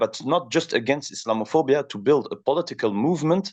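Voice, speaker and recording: A man with a French accent and lively intonation, over a quiet background. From France. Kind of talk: interview. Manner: halting, many fillers.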